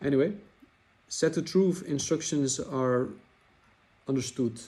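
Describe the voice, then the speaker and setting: Speaking at a moderate pace, a man with a non-native accent has a dark, mellow tone. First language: not English. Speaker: trading software developer. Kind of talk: tutorial. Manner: hesitant, with fillers; casual, chatty.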